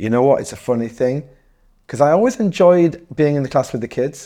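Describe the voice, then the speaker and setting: On a very clean recording with a silent background, a man with a northeast English accent and a dark, mellow tone speaks with ordinary pitch variation. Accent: northeast English, County Durham. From northeast England, Darlington. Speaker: DJ, hip hop journalist and promoter. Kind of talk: casual interview. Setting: in person, in a room.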